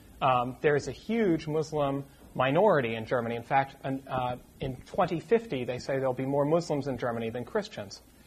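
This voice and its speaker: A man speaks at a moderate pace with a fairly high pitch. His voice is somewhat breathy, with lively intonation. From US New England, Lincoln, Massachusetts near Boston. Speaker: curate, church trainee. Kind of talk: casual interview before a church audience. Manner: halting, repeated words.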